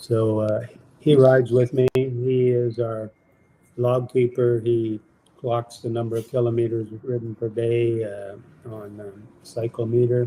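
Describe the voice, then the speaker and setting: A man speaks in a flat monotone with a dark, mellow tone. His voice is somewhat breathy. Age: 80s+. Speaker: long-distance cyclist. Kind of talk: interview. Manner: halting.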